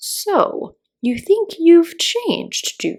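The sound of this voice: A woman whispers in a put-on character voice. She speaks at a very slow pace.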